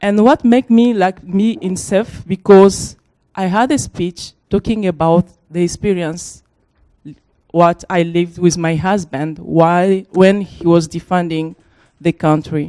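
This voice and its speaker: A woman with a fairly low pitch and a dark, mellow tone speaks at a fairly slow pace with ordinary pitch variation, in a dry, close sound with no echo. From DR Congo. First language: French. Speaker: refugee activist, panelist. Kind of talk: panel talk, personal testimony. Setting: university panel with audience. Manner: halting.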